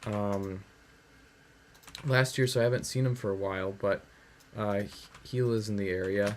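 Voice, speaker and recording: Long, frequent pauses break up a man's fairly low-pitched speech, delivered at a moderate pace with fairly even intonation. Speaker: programmer streaming game development. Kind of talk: live coding stream. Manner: hesitant, many fillers.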